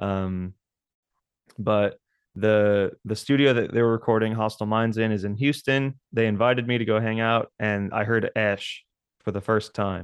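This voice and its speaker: Against a quiet background, a man with an American accent talks at a moderate pace, his pitch fairly low and his intonation fairly even. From South Texas. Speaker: metal band drummer. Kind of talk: casual interview chat. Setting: remote call. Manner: halting, repeats words.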